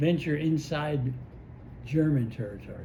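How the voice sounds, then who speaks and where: A man's very slow speech, fairly high in pitch, dark and mellow in tone and somewhat breathy. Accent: American. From United States. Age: 80s+. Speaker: war veteran. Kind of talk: interview answer.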